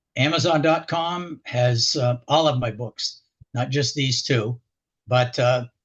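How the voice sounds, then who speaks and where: This man's medium-pitched voice is somewhat breathy, with fairly even intonation. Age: 70s. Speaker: local historian and author. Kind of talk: radio interview. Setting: radio show. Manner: halting, with many fillers.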